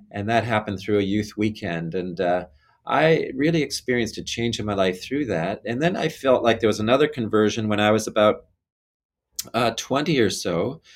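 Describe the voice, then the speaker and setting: This man has a plain, everyday voice, pitched fairly low, with ordinary pitch variation and a moderate pace. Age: 50s. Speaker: bishop. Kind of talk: interview about faith.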